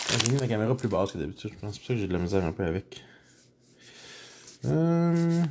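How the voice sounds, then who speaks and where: A man with a Quebec accent talks at a very fast pace in a fairly low voice, his pitch swinging very widely, with long, frequent pauses and noticeable background noise. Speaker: YouTuber opening card packs. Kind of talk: casual pack-opening commentary. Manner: animated.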